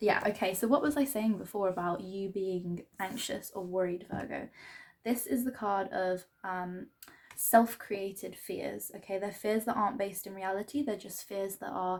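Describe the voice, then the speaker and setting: A woman talks quietly at a moderate pace and medium pitch, with ordinary pitch variation and big swings in loudness. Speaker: tarot reader. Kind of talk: tarot reading. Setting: at home. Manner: quiet, subdued; hesitant, filler-heavy.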